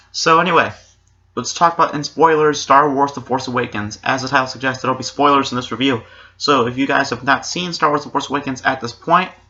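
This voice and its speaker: Fairly quick and fairly high-pitched, a man speaks with fairly even intonation. His tone is bright and sharp. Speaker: YouTube movie reviewer. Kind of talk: vlog review. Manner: casual.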